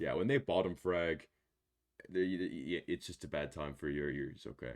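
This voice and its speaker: The voice has vocal fry and lively intonation at a moderate pace. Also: man, very deep, low pitch for a man. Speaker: gaming YouTuber. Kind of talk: casual chat.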